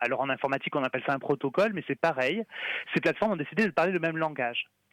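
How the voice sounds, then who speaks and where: With lively intonation, a man speaks in a fairly high voice. The sound is dry and close, with no echo. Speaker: communications officer at a free-software nonprofit. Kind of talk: radio interview. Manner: talkative.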